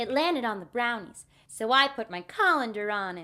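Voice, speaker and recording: A woman's put-on character voice, fairly high and lively in intonation, at a moderate pace on a very clean recording with a silent background. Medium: audio drama. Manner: sweet, prim.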